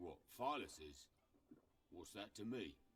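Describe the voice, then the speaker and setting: A man speaks in a put-on character voice pitched fairly low. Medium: video game. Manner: gruff.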